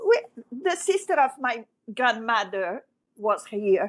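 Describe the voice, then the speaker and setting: In a French accent, a woman with a fairly high voice speaks at a very slow pace in a very clean recording with a silent background. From Brazil (grew up in Rio), born in Egypt. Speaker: broadcast sports event director. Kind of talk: interview. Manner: halting.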